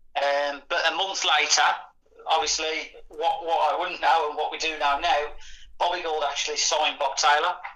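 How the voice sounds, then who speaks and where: A man talks at a moderate pace in a fairly high pitch, his intonation monotone and flat. Noticeable background noise can be heard. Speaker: football fan guest.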